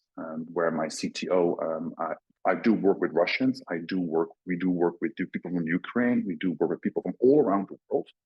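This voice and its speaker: At a moderate pace, a man talks with a Dutch accent. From Netherlands. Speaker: crypto company CEO. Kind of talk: podcast interview. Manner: halting, many fillers.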